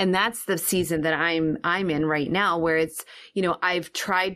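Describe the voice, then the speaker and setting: A plain, everyday voice moves at a fairly slow pace with fairly even intonation on a very clean recording with a silent background. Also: woman. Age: 40s. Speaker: financial coach for business owners. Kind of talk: casual interview.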